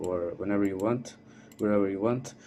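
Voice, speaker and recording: The man has a dark, mellow tone and a fairly low pitch. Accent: non-native. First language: not English. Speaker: modding tutorial creator. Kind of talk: tutorial. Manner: halting, many fillers.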